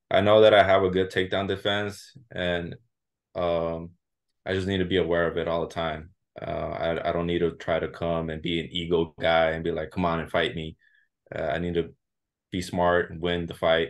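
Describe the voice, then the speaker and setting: A man talks at a moderate pace with a Californian accent. His voice is very deep and low, with monotone, flat intonation. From southern California, Santa Ana, Mexican heritage. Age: 20s. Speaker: MMA fighter. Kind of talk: interview. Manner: halting, many repeats and fillers.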